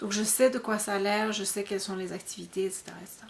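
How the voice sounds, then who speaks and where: A woman speaks over noticeable background noise. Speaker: podcast host. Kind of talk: casual podcast monologue. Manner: fast; hesitant, many fillers.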